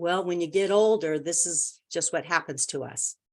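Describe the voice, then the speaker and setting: A woman has an ordinary speaking voice with a fairly low pitch. She talks at a moderate pace over a quiet background. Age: 60s. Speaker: homeopathy consultant. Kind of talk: lecture. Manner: casual, with fillers and repetitions.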